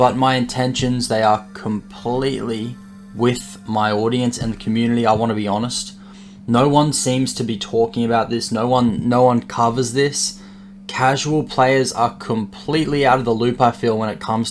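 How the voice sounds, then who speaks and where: Lively male intonation set against noticeable background noise. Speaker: gaming youtuber. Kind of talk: video commentary.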